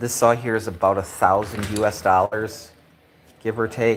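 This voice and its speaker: Over noticeable background noise, a man with an American accent speaks at medium pitch and a fairly slow pace. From US Midwest, Wisconsin. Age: 50s. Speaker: woodworking maker. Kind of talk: live stream chat. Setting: workshop. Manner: casual, halting with fillers.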